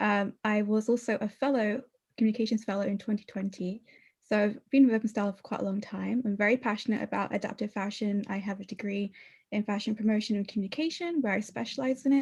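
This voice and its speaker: With a British accent, a woman speaks at a very fast pace in a fairly high, somewhat breathy voice with fairly even intonation. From Britain. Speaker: webinar co-host, community manager. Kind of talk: webinar interview.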